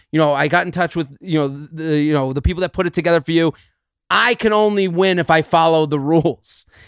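In an unremarkable speaking voice, a man with an American accent talks at a fairly quick pace and fairly high pitch, with ordinary pitch variation, in a very clean, silent-background recording that sounds dry and close with no echo. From New England, US. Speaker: comedian. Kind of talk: casual chat.

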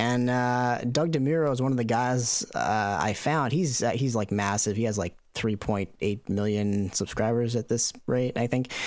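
This man has a plain, everyday voice of medium pitch with ordinary pitch variation. He keeps a moderate pace and very even loudness. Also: hardly any pauses, very clean recording, silent background. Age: 30s. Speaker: YouTube video editor. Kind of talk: interview.

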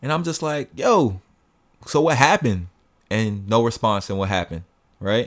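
Captured in a very clean recording with a silent background, a man at medium pitch speaks with lively intonation and long, frequent pauses. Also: moderate pace. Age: 20s. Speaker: podcast co-host. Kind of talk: casual chat.

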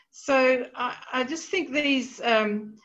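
Audible room echo hangs around the voice. It belongs to a woman. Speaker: literature lecturer. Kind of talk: lecture. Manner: hesitant, many fillers.

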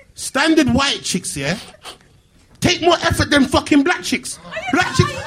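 With noticeable background noise behind him, a man speaks in an extremely high pitch at a fairly slow pace. His tone is animated and his intonation lively. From Birmingham, England. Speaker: internet comedian. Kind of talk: live panel chat. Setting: stage with audience.

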